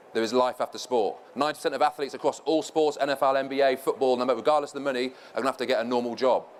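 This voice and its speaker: A man talks at a very fast pace with hardly any pauses. His medium-pitched voice stays flat and monotone. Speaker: former professional footballer, panel speaker. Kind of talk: conference presentation.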